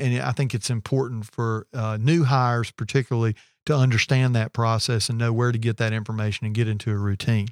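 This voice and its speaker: A normal speaking voice from a man, medium in pitch and at a fairly quick pace, with a dry, close sound with no echo on a very clean recording with a silent background. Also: fairly even intonation. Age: 40s. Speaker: business co-owner. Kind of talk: casual chat.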